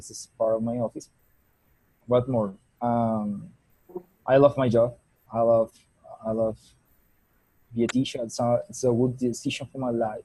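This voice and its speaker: With a Spanish accent, a man speaks at a moderate pace and a medium pitch. His intonation is monotone and flat, and the sound is dry and close with no echo. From Colombia. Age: 20s. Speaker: teacher. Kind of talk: self-introduction in class. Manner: halting.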